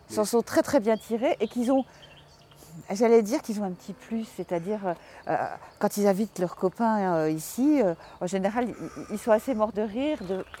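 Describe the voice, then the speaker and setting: A woman with a fairly high pitch and a dark, mellow tone speaks at a fairly slow pace with long, frequent pauses and ordinary pitch variation, in a dry, close sound with no echo. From Paris. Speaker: journalist and author. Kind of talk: interview. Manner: halting, hesitant.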